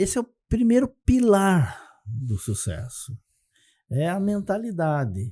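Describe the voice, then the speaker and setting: Very slowly, a man speaks in a high-pitched, dark and mellow voice with very wide pitch swings. The recording is very clean, with a silent background. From Brazil, Santa Catarina. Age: 60s. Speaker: economist and success methodologist. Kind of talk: podcast interview.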